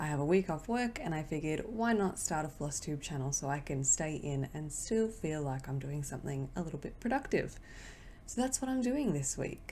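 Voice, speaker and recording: With an Australian accent, a woman speaks at a moderate pace in a very deep, low, somewhat breathy voice whose pitch swings very widely. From Australia, Victoria. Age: 20s. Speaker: cross-stitch vlogger. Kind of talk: casual vlog talk to camera. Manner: casual, hesitant with fillers.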